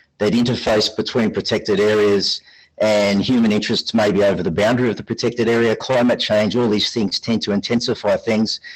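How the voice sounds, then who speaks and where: A man with an Australian accent talks at a fairly quick pace and medium pitch, with fairly even intonation. His loudness stays very even, and the recording is very clean with a silent background. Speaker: audience member. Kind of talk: question from audience.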